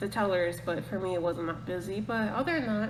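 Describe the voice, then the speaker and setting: A woman with an American accent at a medium pitch and with lively intonation, amid noticeable background noise and audible room echo. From United States. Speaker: podcast host. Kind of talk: casual chat. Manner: rambling, fast.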